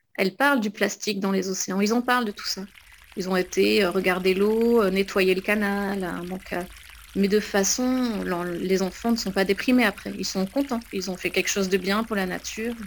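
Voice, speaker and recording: Using a normal speaking voice, a woman talks at a moderate pace and medium pitch with fairly even intonation. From southwest France, near Pau. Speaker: illustrator. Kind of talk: interview monologue.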